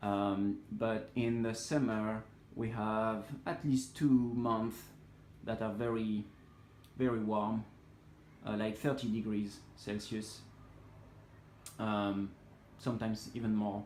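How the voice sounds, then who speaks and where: A man at a very slow pace, monotone and flat, with long, frequent pauses and audible room echo. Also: fairly low pitch for a man. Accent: French. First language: French. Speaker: hobbyist plant grower. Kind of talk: casual tutorial walkthrough. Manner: hesitant, many fillers.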